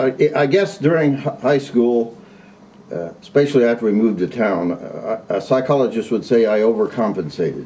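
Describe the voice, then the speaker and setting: A man with a US Midwestern accent, medium pitch, ordinary pitch variation and a moderate pace. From Indiana, Carroll County. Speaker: retired agriculture teacher. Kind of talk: interview. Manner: halting, frequent repetitions and fillers.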